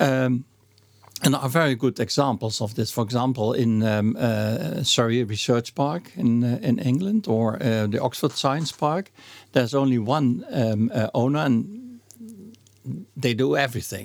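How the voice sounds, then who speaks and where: Speaking at a fairly slow pace with a Dutch accent, a man keeps a medium pitch, ordinary pitch variation and very even loudness. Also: very clean recording, silent background. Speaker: association president. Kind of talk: interview conversation. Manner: slow, halting, many fillers.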